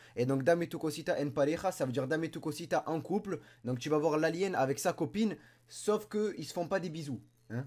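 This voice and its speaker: In a very clean recording with a silent background, a man with a fairly high pitch and an animated tone talks at a fairly quick pace with ordinary pitch variation. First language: Spanish and French (speaking French). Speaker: YouTuber. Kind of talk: casual vlog commentary.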